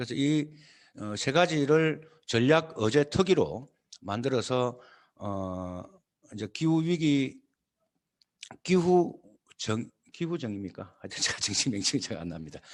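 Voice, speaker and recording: Speaking at a very slow pace with long, frequent pauses, a man uses a medium pitch and very wide pitch swings. His loudness swings widely as well. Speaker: party leader. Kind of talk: lecture. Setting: video call. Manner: halting, many fillers.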